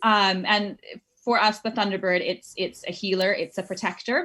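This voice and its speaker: A woman speaks at medium pitch with a bright, sharp tone, ordinary pitch variation and a moderate pace. The recording is very clean, with a silent background. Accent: American. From Northern California. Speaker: business founder. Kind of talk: interview. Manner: hesitant, many fillers.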